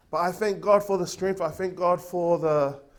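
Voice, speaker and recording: Loud, with a high pitch and fairly even intonation, a man speaks. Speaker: preacher. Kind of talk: sermon. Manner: halting.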